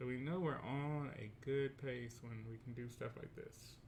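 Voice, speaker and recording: With ordinary pitch variation, a man speaks at a fairly slow pace in a medium, somewhat breathy voice. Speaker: teacher. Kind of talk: tutorial.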